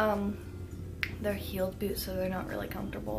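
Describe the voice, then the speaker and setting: Noticeable background noise sits behind a woman's voice. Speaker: vlogger. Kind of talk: casual vlog chat. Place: home room. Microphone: phone near.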